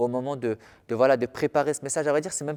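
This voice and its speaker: In a very clean recording with a silent background and a dry, close sound without echo, a man of medium pitch talks very fast. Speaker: pastor. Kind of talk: sermon. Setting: filmed church service at a small table. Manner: calm and soft-spoken.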